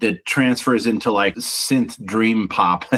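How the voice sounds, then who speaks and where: At a moderate pace, a man with medium pitch and fairly even intonation uses an ordinary speaking voice. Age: 50s. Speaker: singer-songwriter and band frontman. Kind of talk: interview.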